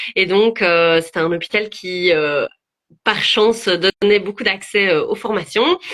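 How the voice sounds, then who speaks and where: At a very slow pace, a woman of medium pitch speaks in a Belgian accent with ordinary pitch variation. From Belgium. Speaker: psychologist. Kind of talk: interview. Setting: video livestream. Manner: hesitant, many fillers.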